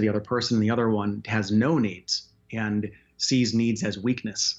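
A man with a plain, everyday voice speaks at a medium pitch and a fairly slow pace, his intonation fairly even. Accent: American. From Chicago, US Midwest. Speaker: life coach and counselor. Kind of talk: radio interview.

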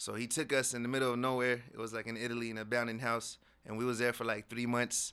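Speaking at a very fast pace, a man with an American accent keeps a flat, monotone delivery at medium pitch with a bright, sharp tone. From South Seattle. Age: young. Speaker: hip-hop artist and spoken word poet. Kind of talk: casual interview.

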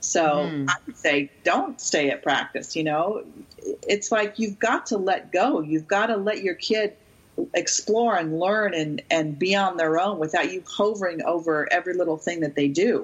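A woman's medium-pitched, plain, everyday voice with lively intonation at a moderate pace. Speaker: youth sports expert and author. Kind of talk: interview, casual chat.

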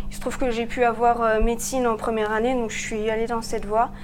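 Fairly high-pitched speech from a woman, carrying audible room echo. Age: 20s. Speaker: medical resident. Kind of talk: interview.

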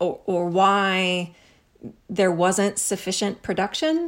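A woman speaks very slowly with an American accent at a medium pitch. The recording is very clean, with a silent background. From US Midwest, Missouri. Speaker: author and professor. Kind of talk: casual chat.

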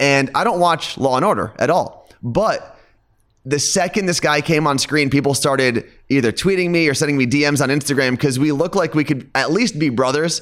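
A man talks in an ordinary speaking voice at a moderate pace with ordinary pitch variation. His loudness stays very even on a very clean recording with a silent background. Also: fairly high pitch for a man. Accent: American. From New Jersey, outside New York City. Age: 30s. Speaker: radio host. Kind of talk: casual chat.

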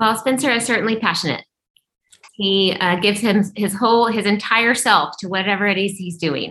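A woman with an American accent speaks at a moderate pace and medium pitch. Her tone is bright and sharp, with ordinary pitch variation. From Highland Park, Dallas, Texas. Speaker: school board candidate. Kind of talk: candidate interview, Q&A.

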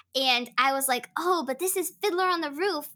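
A woman's raised, projected voice, bright and sharp in tone, with lively intonation at a moderate pace, on a very clean recording with a silent background. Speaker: voice actor and stage actor, podcast guest.

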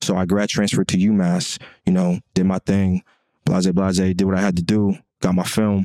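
A dark, mellow tone defines this voice. Its pace is moderate. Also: man, dry, close sound with no echo. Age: 20s. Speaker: podcast co-host, former football player. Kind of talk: casual chat.

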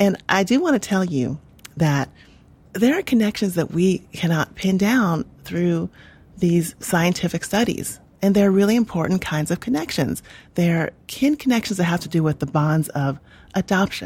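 A woman speaks at a moderate pace with a fairly low pitch and lively intonation. Her voice is somewhat breathy. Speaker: history professor. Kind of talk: interview.

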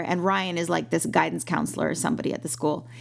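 This woman talks at a very fast pace with vocal fry in her voice. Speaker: actress and podcast co-host. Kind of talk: casual chat. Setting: remote call. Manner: fast talker.

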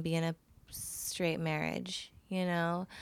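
On a very clean recording with a silent background, a woman speaks in a fairly low, flat monotone. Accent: Californian. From Los Angeles, San Fernando Valley. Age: 20s. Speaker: design student. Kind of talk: casual chat. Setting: sitting on host's bed.

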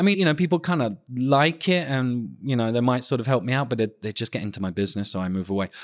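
A man with a British accent at a very fast pace, medium in pitch with lively intonation, over a quiet background. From United Kingdom. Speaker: podcast co-host. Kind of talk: casual chat. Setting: remote call. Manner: animated, laughs often.

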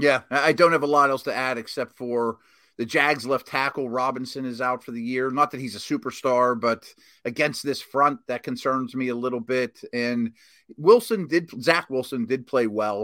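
Here a man with an American accent speaks in a medium pitch with a bright, sharp tone. His intonation is fairly even, in a very clean recording with a silent background. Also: moderate pace. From Pittsburgh, Pennsylvania. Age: 40s. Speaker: former NFL scout, analyst. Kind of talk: casual sports chat.

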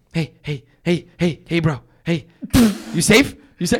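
A man performs a put-on character voice. He pitches it high. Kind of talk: casual slang.

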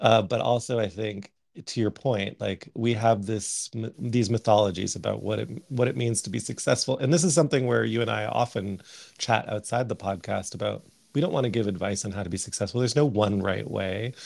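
A man's fairly low, fairly quick voice with vocal fry and ordinary pitch variation, with a Canadian accent. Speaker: artist and podcast co-host. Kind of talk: casual chat. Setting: at home on a remote call.

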